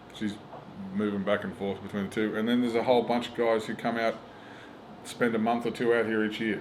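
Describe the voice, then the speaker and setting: A man with a strong Australian accent and a medium pitch talks at a very fast pace. Long, frequent pauses break up his speech, and there is audible room echo. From rural Australia. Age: 40s. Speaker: stand-up comedian. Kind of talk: casual interview chat. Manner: animated.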